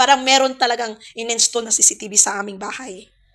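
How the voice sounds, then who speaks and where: A woman rushes along very fast, her pitch varying in an ordinary way. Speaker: vlogger, small cafe owner. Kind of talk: personal vlog storytelling. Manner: halting, with self-corrections.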